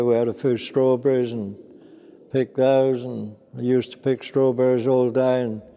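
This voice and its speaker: A man talks in a monotone, flat intonation at a medium pitch. His pace is moderate. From Norfolk fens, England. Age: 80s+. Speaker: sugar beet farmer. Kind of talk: interview answer.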